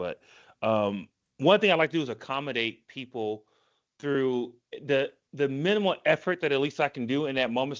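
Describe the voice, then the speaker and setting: A man with an American accent speaks in a normal speaking voice, fairly high in pitch and lively in intonation. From United States. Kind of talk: casual chat.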